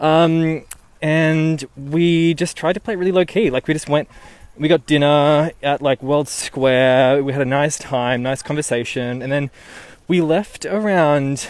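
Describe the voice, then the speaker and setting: Fairly high pitch from a man with an Australian accent, at a fairly slow pace, with ordinary pitch variation. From Newcastle, Australia. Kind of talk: casual storytelling. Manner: animated.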